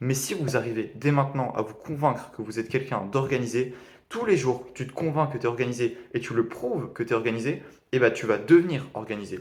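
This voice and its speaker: Fairly quick, somewhat breathy speech from a man at medium pitch, with ordinary pitch variation. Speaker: e-commerce beginner vlogger. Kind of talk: video diary summary of a training course. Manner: fast; hesitant, many fillers.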